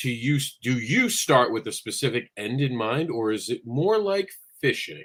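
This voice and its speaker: This man has a plain, everyday voice at a medium pitch. His intonation is lively and his pace moderate. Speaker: show engineer reading audience questions. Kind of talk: reading aloud audience question.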